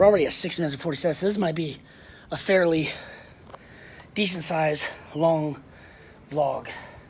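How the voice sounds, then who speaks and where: A man with a high pitch speaks at a moderate pace in a fairly even intonation. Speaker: vlogger. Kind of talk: walking vlog. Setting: outdoors.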